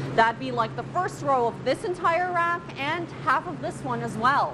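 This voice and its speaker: Amid noticeable background noise, a woman talks at a fairly slow pace with very wide pitch swings. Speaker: TV news reporter. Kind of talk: TV news package narration.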